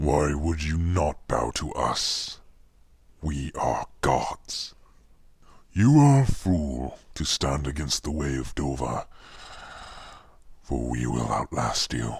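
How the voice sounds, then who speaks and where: Using a put-on character voice, a man talks very slowly at a very deep, low pitch, leaving long, frequent pauses. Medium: voice reel. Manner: commanding, menacing.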